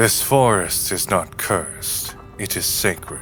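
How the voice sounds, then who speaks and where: A put-on character voice speaks at a fairly slow pace with clear music playing behind it. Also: man. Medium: audio drama. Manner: formal, measured, no contractions.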